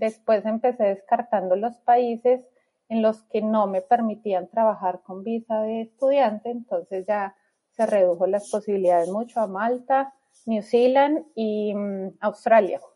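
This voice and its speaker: This woman talks at a fairly slow pace with fairly even intonation. Her pitch is fairly high, and her tone is dark and mellow. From Colombia, Bogotá. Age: 30s. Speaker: immigrant mother. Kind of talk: interview.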